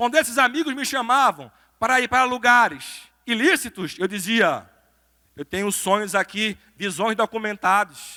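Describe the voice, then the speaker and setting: A man's raised, projected voice, high and bright, sharp in tone, at a moderate pace with a dry, close sound and no echo. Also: lively intonation. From Brazil, Recife (Pernambuco). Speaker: pastor and lawyer, motivational speaker. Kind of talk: motivational sermon-style talk. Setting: church stage with audience.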